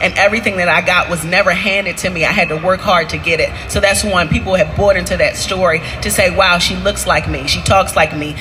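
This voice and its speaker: A woman talks at a fairly quick pace in a room with audible echo and music playing in the background. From Baltimore, Maryland, US. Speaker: entrepreneur, restaurant owner. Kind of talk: onstage interview. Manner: loud, high energy.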